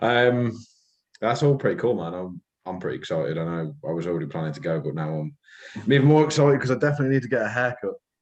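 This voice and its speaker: Very fast and with very wide pitch swings and big swings in loudness, a man with a medium pitch speaks in a West Midlands accent. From West Midlands, England (Telford/Shrewsbury). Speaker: podcast co-host. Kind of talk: casual chat.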